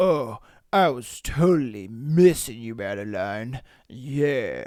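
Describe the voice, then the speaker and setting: A put-on character voice sits at a low-to-middle pitch. It moves at a very slow pace. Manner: smarmy, self-satisfied.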